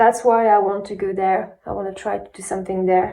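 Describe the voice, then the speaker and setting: In a non-native accent, a woman of medium pitch speaks in a monotone, flat intonation with a dark, mellow tone. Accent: non-native English, self-described bad. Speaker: aspiring singer and vlogger. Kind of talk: personal video diary. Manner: halting, many fillers.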